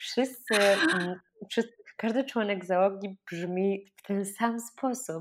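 A woman at a very slow pace, medium in pitch, with ordinary pitch variation and big swings in loudness. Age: 20s. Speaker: podcast host. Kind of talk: interview; scripted intro.

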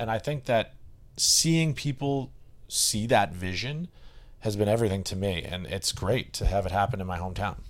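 An unremarkable speaking voice from a man with an American accent. He has fairly low pitch, lively intonation and a moderate pace. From US Northeast, Boston area (Westwood, Massachusetts). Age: 30s. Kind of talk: casual chat.

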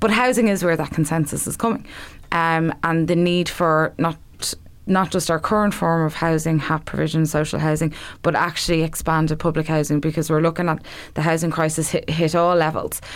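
A woman with a Dublin accent, fairly low pitch and fairly even intonation, at a fairly quick pace and very even loudness, in a very clean recording with a silent background. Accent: Irish (Dublin). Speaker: election candidate. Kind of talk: casual chat.

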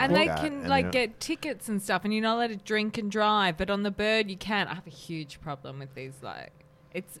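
With an Australian accent, a woman speaks at a fairly quick pace and medium pitch with very wide pitch swings. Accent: Australian, mild. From Melbourne, Australia. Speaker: podcast guest, comedian. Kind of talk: casual, conversational.

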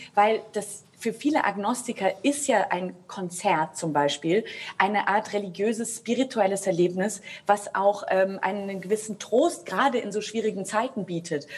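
A woman talks with ordinary pitch variation while noticeable background noise plays behind her. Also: medium pitch for a woman, moderate pace. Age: 30s. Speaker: opera singer. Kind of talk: panel discussion. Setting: video call.

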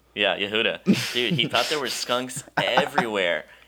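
Over noticeable background noise, a man with an American accent speaks with ordinary pitch variation. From Wisconsin. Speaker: photographer. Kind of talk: casual chat.

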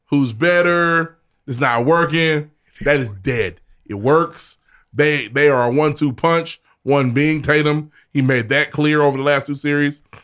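A man speaks at a fairly slow pace in a normal speaking voice with a fairly high pitch and ordinary pitch variation. The recording is very clean and the background silent. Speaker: podcast co-host. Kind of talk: casual chat.

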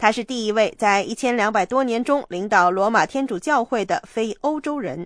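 With an unremarkable speaking voice, a woman of fairly high pitch talks at a moderate pace with lively intonation. The background is quiet and the sound is dry and close with no echo. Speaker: news announcer. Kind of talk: news reading. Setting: studio. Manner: formal.

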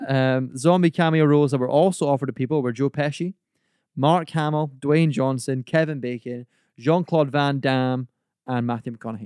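A man with a fairly high pitch uses an ordinary speaking voice at a moderate pace and with fairly even intonation, recorded dry and close with no echo against a quiet background. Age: 20s. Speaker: podcast host. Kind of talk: casual chat.

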